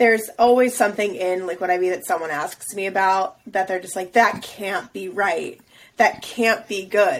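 At a moderate pace, a woman with a normal speaking voice talks at a medium pitch. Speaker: podcast co-host. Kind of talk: casual chat.

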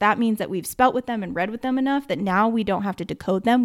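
In an American accent, a woman speaks with ordinary pitch variation on a very clean recording with a silent background. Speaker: podcast host and teacher. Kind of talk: solo educational podcast talk. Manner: fast; casual with filler words.

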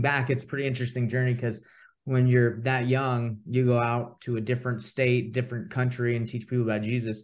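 A man with an American accent, medium in pitch and monotone with flat intonation, at a fairly quick pace against a quiet background. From US South, Atlanta, Georgia. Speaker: real estate investor and coach. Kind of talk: casual interview chat.

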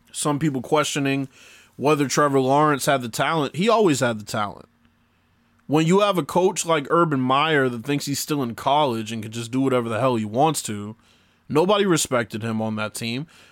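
Speaking at a fairly quick pace with lively intonation, this is a normal speaking voice with an American accent, captured in a very clean recording against a silent background. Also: man, fairly high pitch for a man. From Boston, Massachusetts. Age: 20s. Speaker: sports podcast host and musician. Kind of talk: casual solo podcast monologue.

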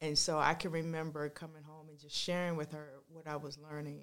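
In an American accent, a woman with a very deep, low pitch speaks at a fairly quick pace in a monotone, flat intonation. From Washington, D.C. area. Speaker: ministry founder and singer. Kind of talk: testimony.

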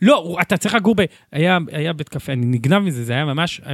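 A man's voice with lively intonation at a moderate pace, dry and close with no echo. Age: 20s. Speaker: city council member. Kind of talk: casual chat.

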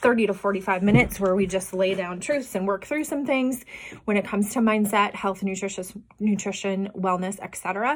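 The speaker has an American accent, a moderate pace and ordinary pitch variation. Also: woman. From Iowa. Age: 40s. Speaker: podcast host and health coach. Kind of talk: casual solo monologue. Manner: unedited, with fillers and repetitions.

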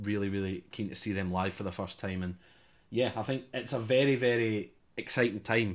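A man's fairly low voice with a Scottish accent at a fairly quick pace, on a very clean recording with a silent background. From Scotland. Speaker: student radio host. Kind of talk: casual chat.

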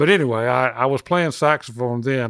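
On a very clean recording with a silent background, a man with a Southern US accent speaks in a dry, close sound with no echo. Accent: Southern US (Georgia). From Athens, Georgia, US South. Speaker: musician. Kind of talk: interview.

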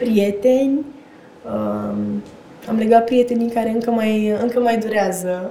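A woman at a very slow pace, fairly high in pitch with monotone, flat intonation and long, frequent pauses, over audible room echo and noticeable background noise. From Romania, Slobozia. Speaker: actress. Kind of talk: casual chat.

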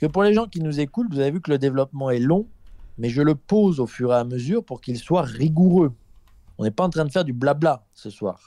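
Fairly high in pitch, a man's voice carries a dark, mellow tone. He talks fairly quickly with lively intonation. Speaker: philosophical commentator. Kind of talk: live podcast debate. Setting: remote call with lag. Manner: formal; repeats words, hesitant starts.

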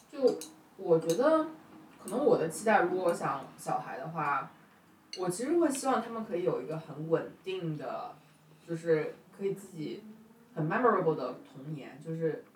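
Long, frequent pauses break up the speech, over noticeable background noise. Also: moderate pace. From China, northeastern family. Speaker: podcast host. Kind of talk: casual chat. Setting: home kitchen, making dumplings.

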